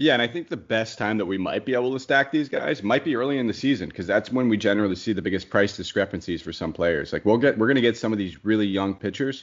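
A man talks at a very fast pace with an American accent. His pitch is fairly low, with ordinary variation. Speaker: podcast host. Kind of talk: casual chat.

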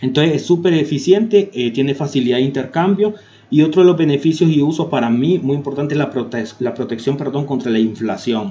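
A man's fairly high, dark and mellow voice, lively in intonation and fairly quick in pace. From Honduras. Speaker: YouTube tech tutorial creator. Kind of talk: tutorial. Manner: hesitant with frequent fillers.

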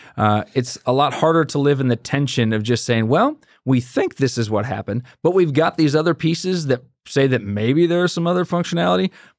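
A man with a fairly high pitch and an unremarkable speaking voice talks at a fairly quick pace with ordinary pitch variation, recorded very cleanly against a silent background. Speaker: podcast guest. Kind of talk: casual comedic chat.

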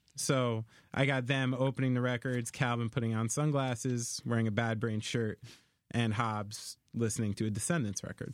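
The recording is very clean, with a silent background. A normal speaking voice moves at a moderate pace with fairly even intonation. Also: man, medium pitch for a man. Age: 30s. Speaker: drummer. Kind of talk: casual chat.

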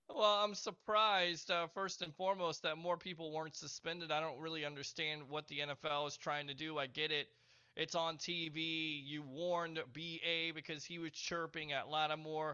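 At a moderate pace with hardly any pauses, a man with an unremarkable speaking voice and fairly high pitch keeps his intonation fairly even. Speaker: podcast co-host. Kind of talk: casual sports talk podcast.

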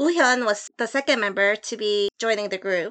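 Bright and sharp in tone, a woman's fairly high voice carries a Korean accent. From South Korea, Seoul. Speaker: freelance translator. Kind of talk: scripted narration.

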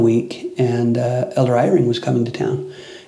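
A man speaks at a moderate pace with a medium pitch. There is noticeable background noise and audible room echo. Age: 30s. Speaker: religion institute teacher. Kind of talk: casual chat.

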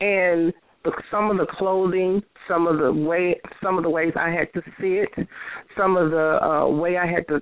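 A woman with a Southern US accent talks at a fairly slow pace with medium pitch. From Tennessee. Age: 40s. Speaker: transgender performer. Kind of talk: interview.

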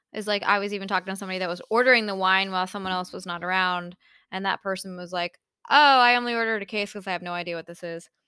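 This woman speaks at a very fast pace. Her tone is bright and sharp. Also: very clean recording, silent background. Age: 30s. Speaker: wine podcast co-host. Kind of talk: casual chat. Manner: animated.

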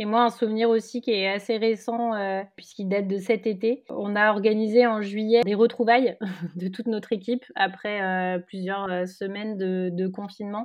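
Medium-pitched female speech at a moderate pace, with monotone, flat intonation. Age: 20s. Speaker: beauty brand co-founder. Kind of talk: interview.

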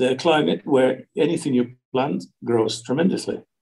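A man with vocal fry at a fairly slow pace. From UK. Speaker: real estate agent. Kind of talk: interview. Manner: halting.

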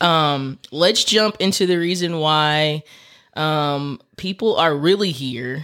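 A man with an American accent speaks very slowly at a fairly high pitch. His tone is bright and sharp. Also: ordinary pitch variation. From Texas. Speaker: podcast host. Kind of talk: casual interview. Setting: studio.

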